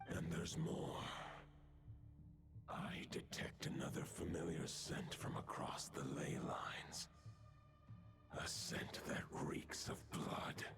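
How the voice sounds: Whispering in a put-on character voice with vocal fry, a man talks at a slow pace with long, frequent pauses.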